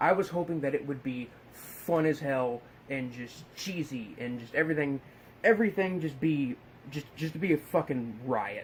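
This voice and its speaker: A man with a fairly high pitch mumbles as he speaks. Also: ordinary pitch variation, moderate pace. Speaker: horror film reviewer. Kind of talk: casual film review monologue. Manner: mumbling, repeating words; excited, animated.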